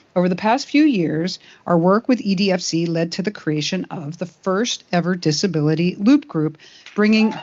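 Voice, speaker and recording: With lively intonation and a medium pitch, a woman talks at a moderate pace in an unremarkable speaking voice. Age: 60s. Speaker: animation studio executive. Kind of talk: speech at awards ceremony.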